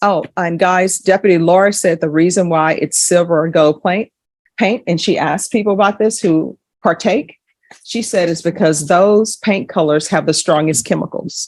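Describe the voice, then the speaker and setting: With a Louisiana accent, a woman talks at a moderate pace in a fairly low pitch. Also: ordinary pitch variation. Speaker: judge. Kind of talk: courtroom proceedings with explanatory asides to viewers. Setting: courtroom.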